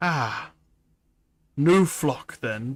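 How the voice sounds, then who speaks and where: A man performs a put-on character voice. His pitch is fairly high. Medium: virtual streamer. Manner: soft-spoken and humble.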